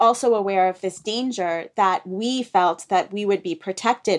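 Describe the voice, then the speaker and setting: A woman with an American accent speaks in an ordinary speaking voice, at medium pitch with ordinary pitch variation. The recording is very clean, with a silent background. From East Africa and UK, raised internationally. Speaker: author. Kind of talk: interview.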